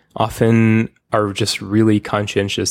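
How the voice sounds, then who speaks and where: In a normal speaking voice, a man with a fairly low pitch talks at a moderate pace, the sound dry and close with no echo. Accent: American. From United States. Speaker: podcast host, software engineer. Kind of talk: casual chat. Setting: remote call.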